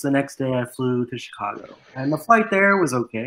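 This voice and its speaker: Moderately paced, a man's voice comes through with a bright, sharp tone. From Las Vegas area. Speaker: YouTuber, podcast guest. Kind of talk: casual chat.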